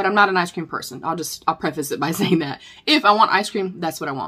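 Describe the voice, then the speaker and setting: Speaking very fast with a Southern US accent, a woman has a medium pitch and ordinary pitch variation. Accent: southern accent, country twang. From North Carolina. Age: 40s. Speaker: beauty vlogger. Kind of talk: Q&A vlog, casual chat. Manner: chatty.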